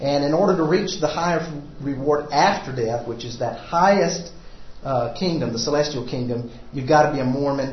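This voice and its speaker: A man with a fairly high voice speaks at a moderate pace with ordinary pitch variation. Audible room echo and noticeable background noise surround him. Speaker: church class teacher. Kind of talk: lecture.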